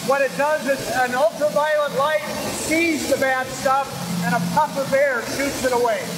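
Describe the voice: Over clear background noise, a man talks in an extremely high pitch with fairly even intonation. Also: moderate pace.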